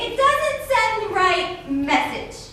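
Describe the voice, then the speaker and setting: A woman puts on a character voice at an extremely high pitch. Strong echo fills the sound. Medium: comedy sketch.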